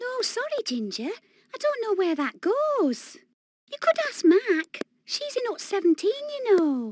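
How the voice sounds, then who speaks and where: Someone performs a put-on character voice at a fairly slow pace, with very wide pitch swings. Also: female-sounding voice, extremely high pitch for a woman. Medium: video game. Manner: gentle, chatty.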